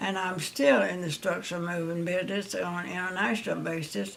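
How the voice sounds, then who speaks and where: A woman's fairly low voice in a Southern US accent, at a fairly slow pace. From Louisiana. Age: 90s. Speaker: retired telephone operator and businesswoman. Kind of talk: life story interview.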